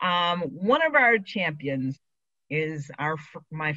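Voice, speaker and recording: A woman with an American accent speaks at a very slow pace in a very deep, low pitch with a bright, sharp tone. The background is quiet. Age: 50s. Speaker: LGBT aging advocate. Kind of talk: prepared speech.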